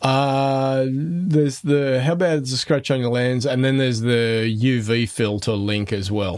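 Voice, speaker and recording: A man with an Australian accent at medium pitch, fairly slow yet with hardly any pauses, showing ordinary pitch variation. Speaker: podcast host. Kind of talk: casual chat. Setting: video call.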